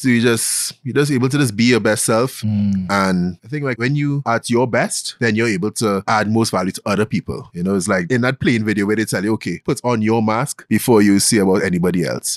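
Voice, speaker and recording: A man with a Trinidadian accent, fairly low in pitch with ordinary pitch variation, at a fairly quick pace with hardly any pauses, in a dry, close sound with no echo. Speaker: investment banker and podcast host. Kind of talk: casual interview. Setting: studio.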